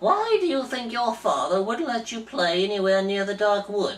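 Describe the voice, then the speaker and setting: Someone puts on a character voice with a fairly high pitch. The pace is moderate. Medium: read story. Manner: fussy, pouty.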